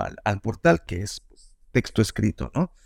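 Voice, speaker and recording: In a dry, close sound with no echo, a man speaks at a fairly slow pace with vocal fry and very wide pitch swings. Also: very clean recording, silent background. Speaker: journalist and podcast producer. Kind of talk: interview. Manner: halting.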